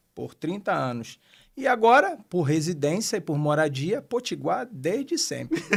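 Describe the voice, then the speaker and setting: On a very clean recording with a silent background, a man with a high pitch speaks fairly slowly, his pitch swinging very widely. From Pernambuco, Brazil (Abreu e Lima). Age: 50s. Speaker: pastor. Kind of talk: interview. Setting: studio.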